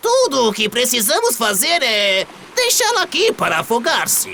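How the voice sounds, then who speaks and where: The voice is a put-on character voice. Its pitch sits fairly high. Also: moderate pace. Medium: read story.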